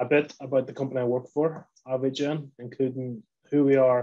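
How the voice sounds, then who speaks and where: Flat and monotone, a man's medium-pitched voice has a dark, mellow tone. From Northern Ireland, Lisburn. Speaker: poultry industry company representative. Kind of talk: webinar presentation.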